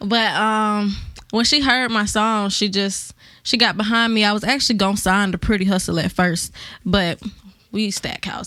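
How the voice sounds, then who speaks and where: A woman's bright, sharp voice with a slight Atlanta accent, medium in pitch, at a moderate pace with fairly even intonation, on a very clean recording with a silent background. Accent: Southern Atlanta accent, slight. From Atlanta area, Decatur, Georgia. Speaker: rapper. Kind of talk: radio interview. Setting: studio.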